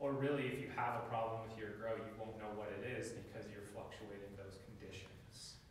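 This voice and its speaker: Strong room echo and light background noise accompany a voice with fairly even intonation and hardly any pauses. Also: man, medium pitch for a man. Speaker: microgreens farmer. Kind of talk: workshop presentation. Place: classroom. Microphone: camera far.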